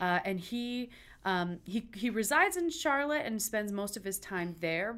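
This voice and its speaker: With an American accent, a woman speaks at a moderate pace with lively intonation in a plain, everyday voice. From West Michigan (small town near Traverse City). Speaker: opera company executive director. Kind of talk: interview.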